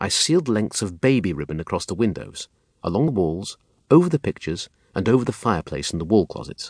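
The clip is someone reading aloud in a natural voice, with a quiet background.

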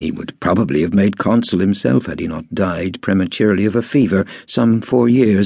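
The speaker uses an unforced reading voice.

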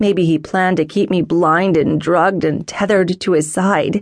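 Here a woman talks in a normal speaking voice. Her pitch varies in an ordinary way, and her pace is moderate. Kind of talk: audiobook dramatic first-person narration. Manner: tense, emotional, intense.

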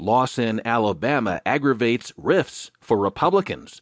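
A man with an unremarkable speaking voice talks at a moderate pace and a medium pitch, with lively intonation. The sound is dry and close with no echo, and the background is quiet. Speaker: audiobook news narrator. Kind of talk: news reading, scripted digest of newspaper articles. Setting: studio recording, audiobook. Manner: formal, even and measured newsreader delivery; steady, unemotional pace, clear enunciation.

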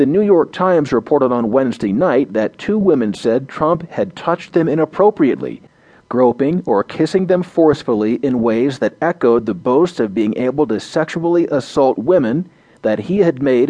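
Here is a man with a plain, everyday voice at a medium pitch. His pace is moderate and his intonation lively. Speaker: audio news narrator. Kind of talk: formal news reading of front-page articles. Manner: formal, measured, even-paced newsreader delivery; neutral and steady, reads headlines and bylines in crisp, clear tones.

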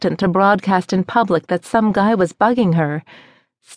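Someone is reading aloud in a natural voice with ordinary pitch variation, set against a quiet background.

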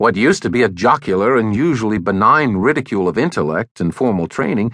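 A man talks at a fairly quick pace with vocal fry and very wide pitch swings. The background is quiet. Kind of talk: audiobook narration. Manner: formal; measured, even-paced.

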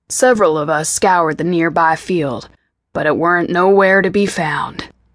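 Quiet and gravelly, a woman puts on a character voice at a fairly low pitch. Her pace is moderate and her pitch varies in an ordinary way. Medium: read story. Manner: tense, hushed, grim.

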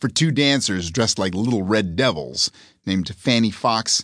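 The passage is delivered in a natural reading voice.

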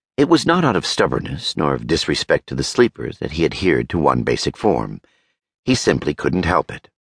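A man speaks in a very deep, low voice with vocal fry and very wide pitch swings. His tone is dramatic, and the sound is dry and close with no echo. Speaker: audiobook narrator. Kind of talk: dramatic audiobook narration of fantasy fiction. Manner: smooth, measured, wry storytelling pace with slight dramatic inflection.

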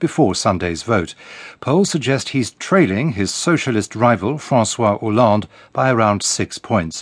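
Against a quiet background, a man with a British accent talks at a moderate pace, his medium pitch carried by lively intonation. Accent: British (BBC English). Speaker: radio newsreader. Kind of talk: formal bulletin newsreading, crisp headline-by-headline delivery. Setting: studio. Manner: measured and authoritative, even-paced; neutral, detached broadcast tone.

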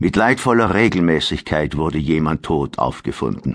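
Against a quiet background, a man speaks in a dramatic tone with lively intonation. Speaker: audiobook narrator. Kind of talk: dramatic audiobook narration of historical fiction. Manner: gravely dramatic, slow and suspenseful.

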